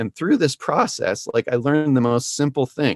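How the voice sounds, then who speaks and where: The recording of this man has dry, close sound with no echo. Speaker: music producer and songwriter. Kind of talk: webinar presentation. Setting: online webinar. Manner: fast; halting, many repetitions.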